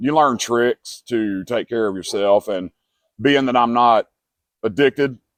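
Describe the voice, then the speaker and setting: In a dry, close sound with no echo, a man with an unremarkable speaking voice talks at a moderate pace with ordinary pitch variation. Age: 40s. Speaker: homeless man interviewed. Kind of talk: interview testimony.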